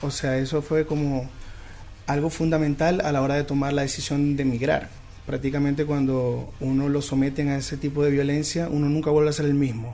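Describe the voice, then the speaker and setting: A man with a fairly high pitch speaks in a monotone, flat intonation. His pace is moderate, with noticeable background noise. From Venezuela, Zulia state. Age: 20s. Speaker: lawyer and immigrant. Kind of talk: radio interview.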